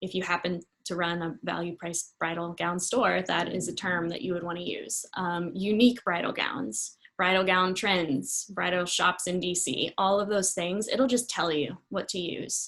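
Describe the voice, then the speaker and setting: Speaking in a plain, everyday voice, a woman keeps a moderate pace with hardly any pauses, a medium pitch and ordinary pitch variation. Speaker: marketing consultant. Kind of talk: webinar presentation.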